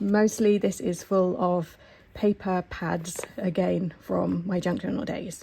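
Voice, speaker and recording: A woman speaks at a very slow pace, somewhat breathy. Her tone is dark and mellow. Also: medium pitch for a woman, ordinary pitch variation. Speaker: sewing vlogger. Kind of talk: casual vlog tour. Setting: living room at home. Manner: hesitant, frequent ums.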